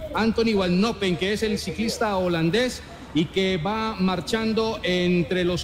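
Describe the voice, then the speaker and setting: The speaker goes at a fairly slow pace with fairly even intonation, over noticeable background noise. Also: man. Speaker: radio sports commentator. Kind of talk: live cycling race commentary.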